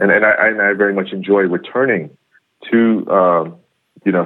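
Speaking with a New York accent, a man keeps a moderate pace. His pitch is fairly low. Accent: New York American. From US, New York. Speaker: Buddhist monk. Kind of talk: interview. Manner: halting.

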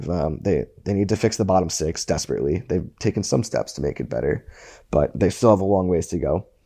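Fairly quick speech in a dark, mellow tone with vocal fry, quiet background. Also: man, very deep, low pitch for a man. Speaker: hockey writer. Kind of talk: casual chat. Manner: many fillers and restarts.

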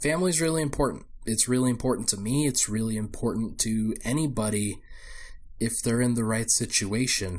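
At a medium pitch and a moderate pace, a man speaks with very even loudness and long, frequent pauses. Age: 20s. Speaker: basketball podcast host. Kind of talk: solo sports podcast monologue. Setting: home recording in his apartment.

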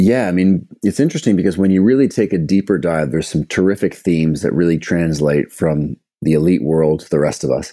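With a Canadian accent, a man talks at a fairly quick pace with hardly any pauses. His very deep voice is dark and mellow, with ordinary pitch variation. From Canada, Toronto. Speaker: sports scientist and author. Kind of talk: podcast interview.

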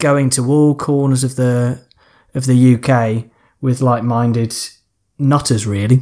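Speaking slowly with long, frequent pauses, a man holds a flat, monotone intonation at a medium pitch in a dark, mellow tone. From Lancashire, near Morecambe. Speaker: football fan and pub landlord. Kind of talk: casual chat.

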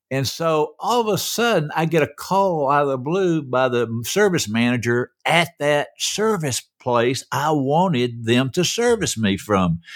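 In a very clean recording with a silent background, a man speaks at a fairly slow pace with fairly high pitch, very wide pitch swings, very even loudness and hardly any pauses. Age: 70s. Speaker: podcast host's father, guest co-host. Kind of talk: casual chat.

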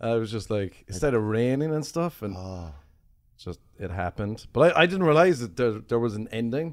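Over a very clean recording with a silent background, a man with an Irish accent speaks at a moderate pace and medium pitch, with very wide pitch swings. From Ireland. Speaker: comedian. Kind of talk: casual chat.

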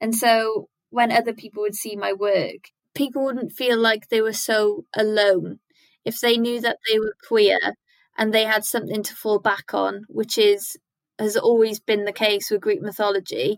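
A woman with a south-west Wales accent speaks at a moderate pace and fairly high pitch, with fairly even intonation and a dry, close sound with no echo. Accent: Welsh (south-west Wales). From Wales, Carmarthen. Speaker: illustrator and artist. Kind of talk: casual interview chat.

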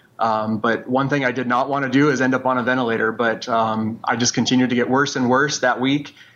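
A man's medium-pitched voice, very fast, in a flat monotone. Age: 40s. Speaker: COVID survivor. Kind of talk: testimony.

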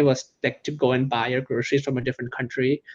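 Flat and monotone, a man with an American accent speaks at a very fast pace. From California. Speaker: startup founder. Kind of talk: interview.

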